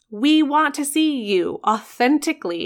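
On a very clean recording against a silent background, the voice sounds animated. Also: woman. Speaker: podcast host and photographer. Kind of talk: pep talk. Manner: animated, fired-up and encouraging; direct, emphatic, punchy phrasing.

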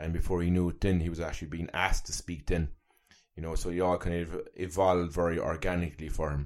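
A man with a Cork accent, very deep, low pitch and monotone, flat intonation at a very fast pace, on a very clean recording with a silent background. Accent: Irish (Cork). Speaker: wellbeing coach and journalist. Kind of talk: casual interview conversation.

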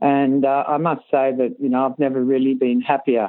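With an Australian accent, a woman speaks in a very deep, low pitch. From Australia, Sydney. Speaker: riding coach. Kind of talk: interview.

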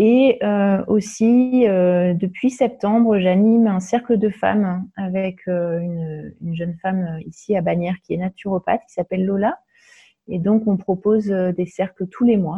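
This woman's intonation is fairly even. She talks at a fairly slow pace. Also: medium pitch for a woman. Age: 40s. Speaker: holistic wellness practitioner. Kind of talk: podcast interview. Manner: hesitant, many fillers.

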